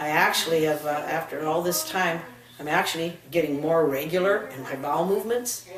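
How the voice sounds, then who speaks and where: Audible room echo plus noticeable background noise. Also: woman. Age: 60s. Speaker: patient. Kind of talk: testimony. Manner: halting.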